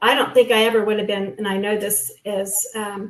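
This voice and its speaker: A woman speaks at a medium pitch and a moderate pace. She has an unremarkable speaking voice. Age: 60s. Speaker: guest sharing post-abortion experience. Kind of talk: testimony.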